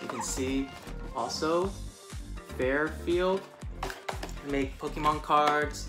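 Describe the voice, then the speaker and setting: Clear music plays in the background as the voice moves at a fairly slow pace. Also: man. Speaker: unboxing vlogger. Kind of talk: casual unboxing review. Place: home room. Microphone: lapel.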